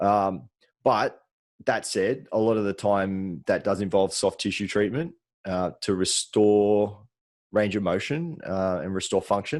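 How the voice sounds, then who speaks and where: A man speaks in a fairly low voice with an Australian accent, ordinary pitch variation and a relaxed tone. His pace is fairly slow, and the recording is very clean with a silent background. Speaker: podcast co-host, soft tissue therapist. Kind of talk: casual chat. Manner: relaxed, with frequent fillers.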